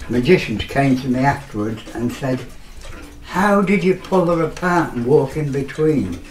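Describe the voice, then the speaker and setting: A man with an East Midlands accent speaks at a moderate pace in a fairly high pitch, his intonation lively. Audible room echo and noticeable background noise surround him. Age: 80s+. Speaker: magician. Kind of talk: casual chat.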